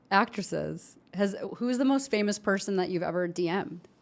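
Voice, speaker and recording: A woman at a medium pitch uses ordinary pitch variation in an ordinary speaking voice. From Chicago. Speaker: podcast host. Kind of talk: interview. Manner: casual.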